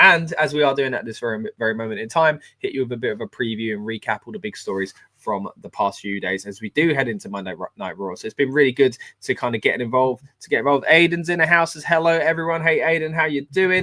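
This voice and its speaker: A man with an English accent rattles along very fast with hardly any pauses, his fairly high, bright and sharp voice swinging widely in pitch and loudness. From England, London. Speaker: wrestling channel host. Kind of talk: live stream watch-along preview. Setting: live stream. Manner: casual, many filler words.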